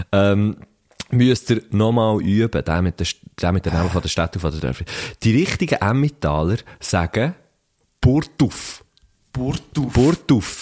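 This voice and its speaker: Music plays in the background as a man speaks at a fairly low pitch and fairly slow pace. His pitch swings very widely, and he leaves long, frequent pauses. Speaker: podcast host. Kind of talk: casual chat. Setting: studio.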